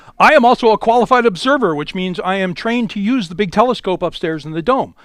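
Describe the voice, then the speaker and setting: Loud and at a very fast pace, a man talks. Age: 60s. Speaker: amateur astronomer and club speaker. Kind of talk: lecture. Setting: in-person talk with live audience. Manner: animated.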